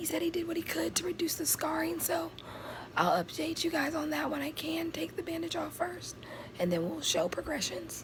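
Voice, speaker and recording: A woman's speech at a moderate pace is heard through noticeable background noise. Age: 20s. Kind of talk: casual talk to camera.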